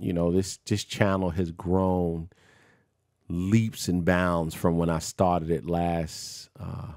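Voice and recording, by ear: A man's low voice, slightly mellow in tone, with fairly even intonation and a slow pace, on a very clean recording with a silent background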